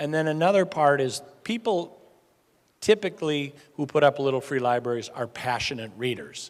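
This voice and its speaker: A man with an American accent speaks at a moderate pace in an unremarkable speaking voice. His pitch is fairly high and his intonation lively. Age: middle-aged. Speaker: nonprofit founder. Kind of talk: speech to a club audience.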